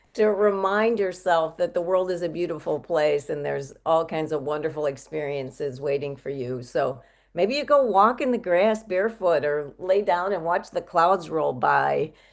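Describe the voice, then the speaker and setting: A woman with an unremarkable speaking voice talks at a fairly low pitch, with lively intonation and hardly any pauses. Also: moderate pace. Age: 60s. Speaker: health coach. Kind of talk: interview.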